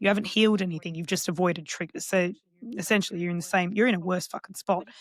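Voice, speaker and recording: Heard in a dry, close sound with no echo, a woman talks with an Australian accent. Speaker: counsellor and psychotherapist. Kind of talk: podcast interview.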